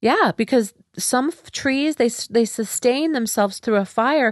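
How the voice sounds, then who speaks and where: In a normal speaking voice, a woman talks at a fairly slow pace and fairly high pitch with lively intonation, recorded dry and close with no echo against a quiet background. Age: 50s. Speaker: wellness podcast host and former yoga teacher trainer. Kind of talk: spiritual teaching monologue. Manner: warm and upbeat.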